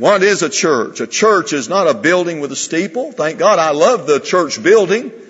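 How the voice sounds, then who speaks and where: The talking runs at a moderate pace with hardly any pauses. The background is quiet. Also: man. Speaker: preacher. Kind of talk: sermon. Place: church.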